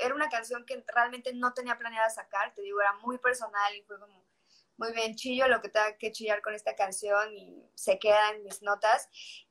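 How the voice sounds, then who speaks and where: Speaking at a moderate pace, a woman uses a fairly high, bright, sharp voice with fairly even intonation. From Mexico, Yucatán (Mérida). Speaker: singer-songwriter. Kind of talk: casual chat.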